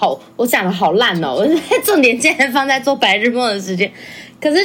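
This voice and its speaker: A woman's high voice swings very widely in pitch as noticeable noise carries in the background. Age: 20s. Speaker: performance artist. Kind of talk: casual chat.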